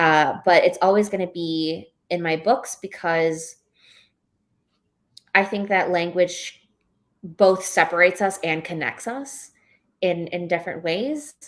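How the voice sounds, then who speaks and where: With a New York accent, a woman speaks at a fairly low pitch with ordinary variation. Her pauses are long and frequent. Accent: New York American English. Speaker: novelist. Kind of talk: live book club interview. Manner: halting, many fillers and restarts.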